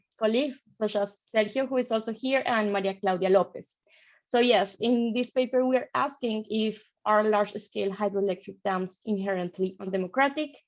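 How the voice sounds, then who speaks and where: With a Colombian accent, a woman speaks at a moderate pace in a fairly high pitch with ordinary pitch variation. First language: Spanish. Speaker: PhD student presenter. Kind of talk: conference presentation.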